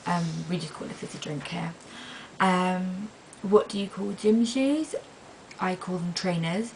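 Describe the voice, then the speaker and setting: A woman speaks with a British accent at a fairly slow pace. Noticeable background noise is present. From England. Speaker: vlogger. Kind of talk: casual vlog. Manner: hesitant, many fillers.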